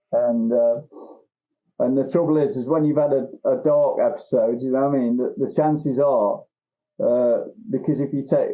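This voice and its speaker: This man speaks with a Lincolnshire accent. His pace is moderate. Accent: local Lincolnshire. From England, Lincolnshire (Newark). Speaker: therapist and recovered addict. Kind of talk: interview. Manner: halting, many repetitions and fillers.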